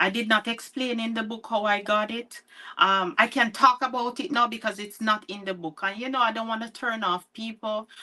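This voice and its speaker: A woman with a Jamaican accent, a bright, sharp tone and fairly high pitch, fairly even intonation, big swings in loudness, and a moderate pace. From Jamaica, near Mandeville (Spur Tree). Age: 40s. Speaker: author. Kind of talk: interview. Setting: livestream.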